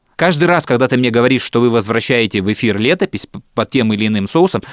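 Dry and close with no echo, a man talks at a fairly quick pace with lively intonation and very even loudness. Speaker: podcast host and radio producer. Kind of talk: casual chat, storytelling.

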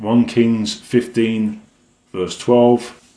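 This is a man speaking. He has an English accent. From England. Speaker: evangelist. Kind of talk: religious monologue.

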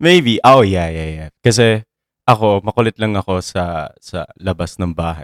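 With lively intonation, the man talks at a moderate pace. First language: Filipino. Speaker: podcast co-host. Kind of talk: casual chat. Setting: sharing one mic at home.

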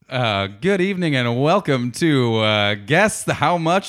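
A plain, everyday voice from a man, medium in pitch, at a fairly slow pace. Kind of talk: infomercial parody. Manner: bright, over-the-top salesman cheer.

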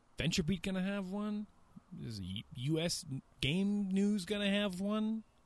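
A man with an American accent speaks at a high pitch and a fairly slow pace, his intonation fairly even and his speech broken by long, frequent pauses. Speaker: gaming podcast host. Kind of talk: casual chat.

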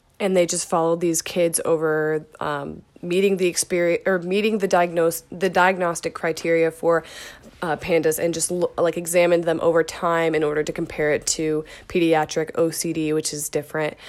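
A woman speaks with a monotone, flat intonation. Her pitch is fairly low. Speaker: podcast host. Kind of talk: solo podcast monologue, casual. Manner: fast talker, says she speaks really fast; casual, filler-heavy.

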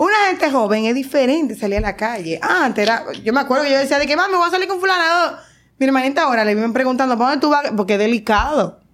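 In a very clean recording with a silent background, a woman speaks very fast at a high pitch, with very wide pitch swings and very even loudness. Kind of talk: casual chat.

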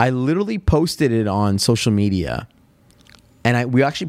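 This man speaks. He has a slight western Canadian accent. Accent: subtle western Canadian. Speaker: podcast host. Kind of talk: casual chat. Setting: studio.

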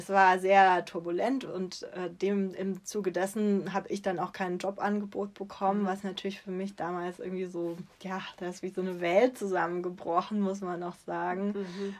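A woman talks at a moderate pace and medium pitch with hardly any pauses and monotone, flat intonation. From southwestern Germany, Freiburg im Breisgau. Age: 30s. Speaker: children's book author. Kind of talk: interview.

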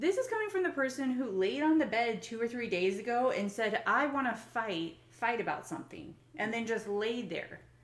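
A woman speaks at a moderate pace in an unremarkable speaking voice, her intonation lively and her words running on with hardly any pauses. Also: fairly high pitch for a woman. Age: 30s. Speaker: podcast host and business owner. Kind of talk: casual chat. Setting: at home.

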